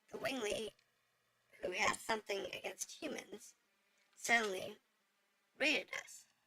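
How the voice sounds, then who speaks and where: Using a put-on character voice, a woman talks at a moderate pace in a raspy, fairly high pitch, leaving long, frequent pauses. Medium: game stream. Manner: formal, deferential.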